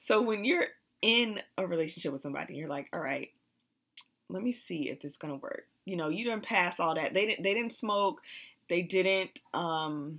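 At a moderate pace, a woman speaks in a fairly low pitch with ordinary pitch variation and long, frequent pauses. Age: 30s. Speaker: podcast co-host. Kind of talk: casual chat.

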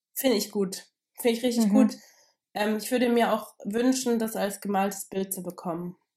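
This woman has a fairly high pitch and a dark, mellow tone, speaking at a moderate pace with fairly even intonation. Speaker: podcast co-host. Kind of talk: casual chat.

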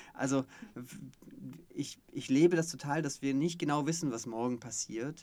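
Recorded very cleanly against a silent background, a man with a fairly high pitch speaks with fairly even intonation. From Stuttgart area, Swabia. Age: 30s. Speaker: podcast co-host, coach. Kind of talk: casual chat.

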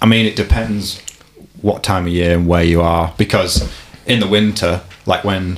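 Over noticeable background noise, a man with a very deep, low voice speaks at a fairly slow pace, with fairly even intonation and long, frequent pauses. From Warrington, northwest England. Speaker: mountain bike video maker. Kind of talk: casual interview chat.

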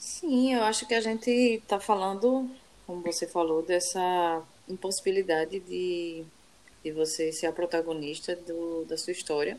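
A woman's fairly low-pitched, plain, everyday voice at a fairly slow pace. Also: ordinary pitch variation. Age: 30s. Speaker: podcast co-host. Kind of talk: casual chat.

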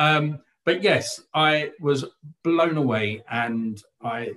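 Ordinary pitch variation in a man's speech. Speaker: theatre critic, writer and director. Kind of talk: casual panel discussion. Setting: video call.

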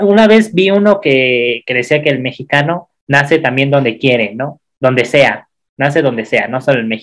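A man with a normal speaking voice, fairly high in pitch, lively in intonation, at a moderate pace. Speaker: podcast co-host. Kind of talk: casual chat.

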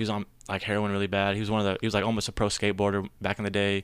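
A man with an American accent at a fairly low pitch, very fast pace and monotone, flat intonation, in a very clean recording with a silent background. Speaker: brewery social media manager. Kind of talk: casual chat.

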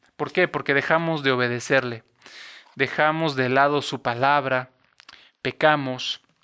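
A man with a Mexican accent speaks at a fairly slow pace in a bright, sharp tone with monotone, flat intonation. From Mexico, Cuernavaca, Morelos. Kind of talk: devotional reflection monologue. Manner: hesitant, many fillers and repetitions.

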